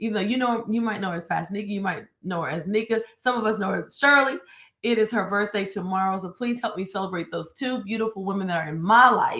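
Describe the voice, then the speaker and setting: A loud, very fast woman's voice at medium pitch, bright and sharp, with an animated tone and ordinary pitch variation, on a very clean recording with a silent background. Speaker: church minister. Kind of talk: live-streamed devotional talk. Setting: home studio, live stream.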